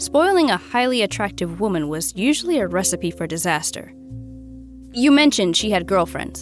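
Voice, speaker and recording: With music behind her, a woman talks at a moderate speed. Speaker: voice actor. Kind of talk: audiobook narration.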